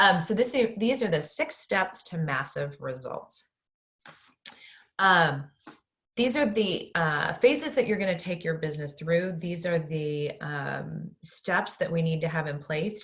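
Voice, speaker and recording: Moving at a fairly slow pace, a plain, everyday voice carries lively intonation. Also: woman, fairly low pitch for a woman. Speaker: business coach. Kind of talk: webinar workshop. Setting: online webinar. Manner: many filler ums.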